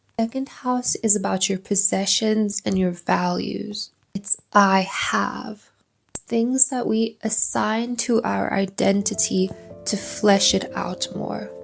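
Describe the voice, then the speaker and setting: Over music in the background, a woman speaks very slowly in a calm, soothing tone. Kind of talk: calm educational astrology lesson, ASMR style. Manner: calm, soothing, soft-spoken.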